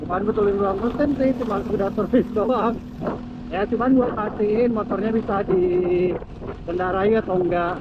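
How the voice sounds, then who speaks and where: A man's high-pitched voice moves at a moderate pace with fairly even intonation. Noticeable noise sits in the background. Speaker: motovlogger. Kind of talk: casual vlog narration while riding. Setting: riding a motorcycle outdoors. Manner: speaking somewhat loud.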